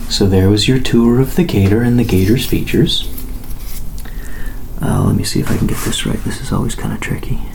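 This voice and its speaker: Amid noticeable background noise, a man speaks at a fairly quick pace and medium pitch with ordinary pitch variation and long, frequent pauses. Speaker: ASMR content creator. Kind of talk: soft-spoken ASMR tour.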